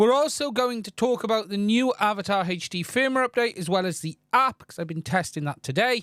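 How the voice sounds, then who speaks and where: Speaking in a British accent with a high voice and lively intonation, a man goes at a fairly quick pace with hardly any pauses, in a very clean recording with a silent background and a dry, close sound with no echo. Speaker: tech channel host. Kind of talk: live stream news and Q&A.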